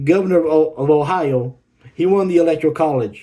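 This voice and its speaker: A dark, mellow tone pairs with a fairly high pitch in this man's voice. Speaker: social media creator. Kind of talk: casual monologue to camera. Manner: fast; halting, many restarts.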